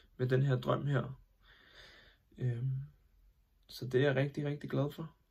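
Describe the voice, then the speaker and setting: Very slow, monotone speech from a man, flat in intonation and somewhat breathy. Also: medium pitch for a man. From Denmark, Copenhagen area (Hvidovre). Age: 20s. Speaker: aspiring actor, sewage truck worker. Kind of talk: self-tape introduction. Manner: hesitant, many filler sounds.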